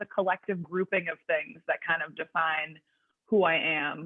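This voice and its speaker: Ordinary pitch variation in a woman's voice, at a moderate pace. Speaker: personal trainer. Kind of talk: podcast interview. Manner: loud; talkative.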